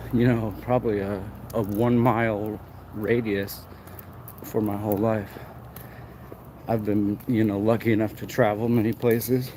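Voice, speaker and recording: A man with an American accent mumbles at a fairly low pitch in a monotone, flat intonation. Long, frequent pauses break up his speech. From Arizona, US. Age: 30s. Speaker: livestreamer. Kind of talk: walking livestream commentary. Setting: outdoors, walking downtown at night. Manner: mumbling.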